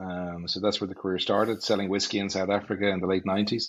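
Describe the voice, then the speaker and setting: Very deep and low in pitch, a man with an Irish accent speaks at a very fast pace. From Ireland, North County Dublin. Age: 40s. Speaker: business executive. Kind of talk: podcast interview.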